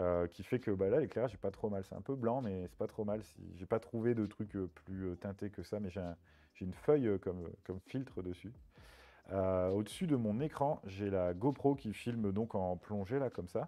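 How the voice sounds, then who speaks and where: A man with a fairly low pitch talks at a moderate pace, with ordinary pitch variation and big swings in loudness. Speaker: streamer. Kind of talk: casual chat. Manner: halting, many fillers.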